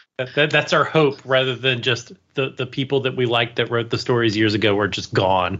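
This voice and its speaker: This man has a plain, everyday voice and an American accent, with medium pitch and ordinary pitch variation. He moves at a fairly quick pace with hardly any pauses. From US, DC area. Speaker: podcast co-host. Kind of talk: casual chat.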